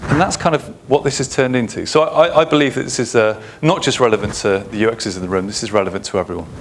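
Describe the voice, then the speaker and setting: A man at a medium pitch, speaking at a very fast pace with lively intonation, over noticeable background noise. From England. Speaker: UX consultant and conference speaker. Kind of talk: conference talk. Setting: stage with audience.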